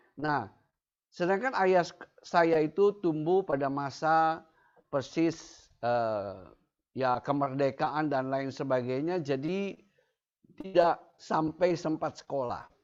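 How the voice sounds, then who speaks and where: Against a quiet background, a man speaks very slowly. His pitch is fairly high, with ordinary pitch variation. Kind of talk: testimony. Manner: halting, with fillers.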